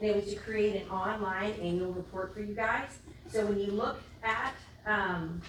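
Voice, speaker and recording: A woman with an American accent, medium pitch and fairly even intonation at a moderate pace, amid noticeable background noise and audible room echo. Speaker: school district administrator. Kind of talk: presentation at school board meeting.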